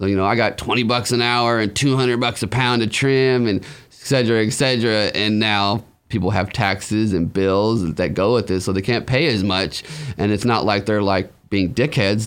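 Speaking at a moderate pace, a man uses a normal speaking voice, fairly low in pitch, with ordinary pitch variation and very even loudness. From Humboldt, California and Arizona. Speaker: cannabis social media personality. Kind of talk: casual interview.

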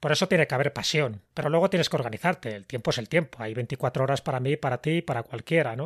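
Recorded very cleanly against a silent background, a man with a plain, everyday voice and a fairly high pitch shows ordinary pitch variation in a dry, close sound with no echo. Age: 60s. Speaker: writer and podcast host. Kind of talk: interview.

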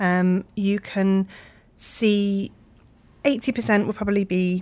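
Her pitch is medium, and her intonation stays fairly even. The woman has a plain, everyday voice. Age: 30s. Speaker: video production company executive producer. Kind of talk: interview.

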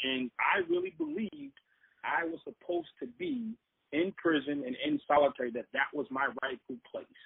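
A plain, everyday voice from a man with an American accent, fairly high pitch, lively intonation and a moderate pace. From Boston. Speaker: former prisoner turned speaker. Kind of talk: interview storytelling.

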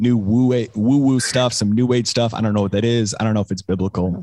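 With an ordinary speaking voice, a man holds a medium pitch, ordinary pitch variation and a moderate pace. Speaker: podcast host. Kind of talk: interview chat.

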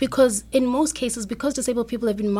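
This woman's voice is somewhat breathy, with a fairly high pitch, ordinary pitch variation and a dark, mellow tone. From South Africa. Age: young. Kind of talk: radio interview.

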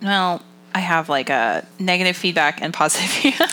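In an American accent, a woman with a fairly low pitch uses an ordinary speaking voice with ordinary pitch variation. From Massachusetts. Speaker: podcast co-host. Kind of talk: casual chat.

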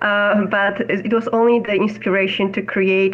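Moderate pace and fairly even intonation over noticeable background noise. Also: woman. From Poland. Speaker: NFT project founder. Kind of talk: casual chat.

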